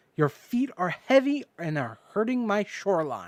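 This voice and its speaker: A put-on character voice at middle pitch and a moderate pace. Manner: annoyed, complaining.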